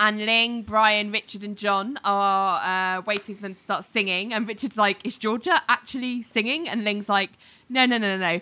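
A woman with a British accent has a fairly high pitch, ordinary pitch variation and a bright, sharp tone, on a very clean recording with a silent background. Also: moderate pace. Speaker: podcast co-host. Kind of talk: casual chat.

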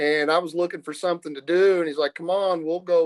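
Recorded with a dry, close sound and no echo, a man with a Midwestern American accent talks at a fairly quick pace in a flat, monotone delivery. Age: 50s. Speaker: accountant and business owner. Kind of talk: interview.

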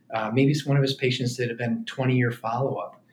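A somewhat breathy man's voice at medium pitch. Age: 50s. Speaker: pediatric orthopedic surgeon. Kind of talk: casual chat. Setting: hotel suite, in person.

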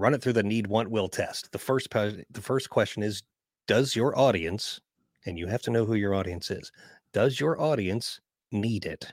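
On a very clean recording with a silent background, a man talks at a moderate pace and medium pitch with ordinary variation. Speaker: marketing consultant and voiceover coach. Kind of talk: casual interview chat.

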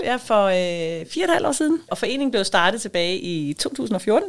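Her pitch sitting at medium, a woman speaks with very wide pitch swings. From Denmark, southern Funen. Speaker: head of an industry association secretariat. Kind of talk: interview. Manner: hesitant, many fillers.

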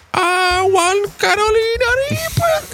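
A put-on character voice rings out at an extremely high pitch. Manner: childishly demanding, exaggerated.

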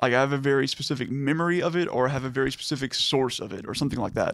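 A man in a plain, everyday voice, with an American accent, fairly high pitch, ordinary pitch variation and a fairly quick pace. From Texas, Liberty area near Houston. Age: 30s. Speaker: podcast guest discussing music. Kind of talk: casual chat.

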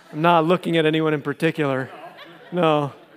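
This man talks at a fairly slow pace with a fairly high pitch. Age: 50s. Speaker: pastor. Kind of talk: sermon. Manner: halting.

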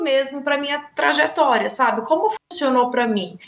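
A woman's high voice with lively intonation at a fairly quick pace, over noticeable background noise. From Brazil. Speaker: English teacher. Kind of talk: casual chat. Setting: studio.

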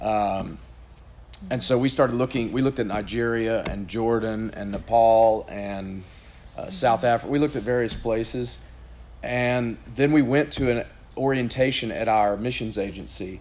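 Moderate pace and fairly even intonation amid audible room echo. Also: man, medium pitch for a man. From Chattanooga area, Tennessee. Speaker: missionary. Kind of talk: interview at church event.

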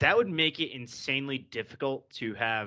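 On a very clean recording with a silent background, a man speaks in a bright, sharp tone with ordinary pitch variation. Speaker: football podcast host. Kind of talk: casual banter, sports podcast. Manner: fast talker.

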